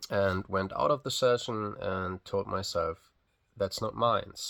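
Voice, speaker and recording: Very slow pace in a non-native accent. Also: man. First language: not English. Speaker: physiotherapist vlogging a personal journey. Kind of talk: casual vlog monologue. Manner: hesitant, many fillers and restarts; unscripted, unedited.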